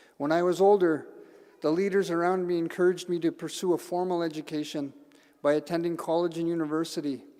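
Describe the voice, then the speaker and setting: A very fast, monotone, flat-toned man with a Canadian accent, high-pitched and dark, mellow in tone. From northern Manitoba, Canada. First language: Cree. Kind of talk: ceremonial speech. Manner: halting.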